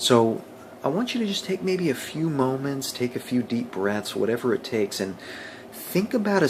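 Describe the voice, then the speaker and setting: A man at a moderate pace with lively intonation, over noticeable background noise. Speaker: motivational vlogger. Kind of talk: motivational talk to camera.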